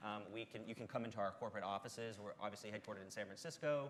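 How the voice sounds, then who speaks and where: With a Texas accent, a man speaks very fast at a fairly low pitch. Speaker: tech company representative. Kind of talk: panel discussion.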